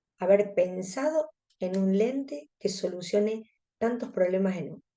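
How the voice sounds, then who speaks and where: A woman speaks with a Córdoba Argentine accent. Her tone is dark and mellow, medium in pitch with ordinary pitch variation. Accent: Cordoban Argentine Spanish. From Argentina, Córdoba. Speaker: contact lens specialist. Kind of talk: webinar lecture.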